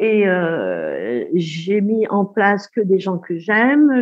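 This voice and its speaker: Lively intonation colors the woman's speech. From Algeria. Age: 60s. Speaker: retired midwife. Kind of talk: testimony.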